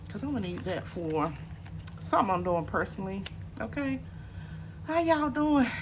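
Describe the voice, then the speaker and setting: A quiet woman at a fairly quick pace, broken by long, frequent pauses, with audible room echo. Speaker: personal finance vlogger. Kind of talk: casual vlog. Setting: apartment at night. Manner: quiet, talking low.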